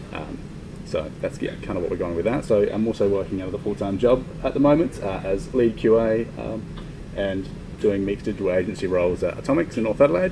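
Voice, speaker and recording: Delivered at a very fast pace with an Australian accent, the speech carries noticeable background noise and audible room echo. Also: man, fairly low pitch for a man, ordinary pitch variation. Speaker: indie game developer. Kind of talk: conference talk. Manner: quiet.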